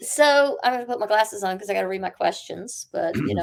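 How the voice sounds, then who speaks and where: Using a normal speaking voice, a woman talks with an American accent at a medium pitch. Her pace is fairly quick and her intonation lively. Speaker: podcast host. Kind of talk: interview questions.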